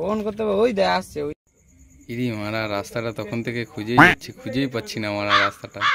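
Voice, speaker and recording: A man puts on a rumbling character voice at medium pitch, speaking at a moderate pace with lively intonation. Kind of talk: comic overacting. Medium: comedy sketch. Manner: grumbling, crude.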